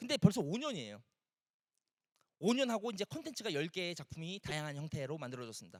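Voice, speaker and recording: Very wide pitch swings from a man, dry and close with no echo. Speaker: environmental artist and art director giving a talk. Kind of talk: motivational talk to audience. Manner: animated.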